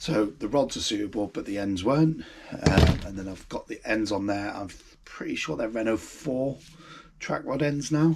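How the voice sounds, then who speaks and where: A man talks at a medium pitch and a moderate pace. His intonation is lively, with noticeable background noise. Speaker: car restoration vlogger. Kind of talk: casual vlog. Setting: home garage. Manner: hesitant, many ums.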